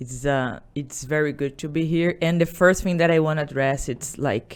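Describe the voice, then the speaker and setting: With a Portuguese accent, a woman talks at a moderate pace in a very deep, low voice and fairly even intonation. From Brazil. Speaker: salon business owner. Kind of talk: podcast interview. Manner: halting.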